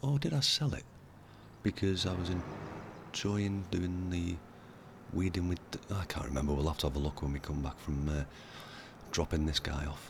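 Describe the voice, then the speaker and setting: A man talks at a moderate pace in a very deep, low, somewhat breathy voice. His pitch varies an ordinary amount. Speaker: gaming YouTuber. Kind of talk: let's play commentary. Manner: casual, many fillers.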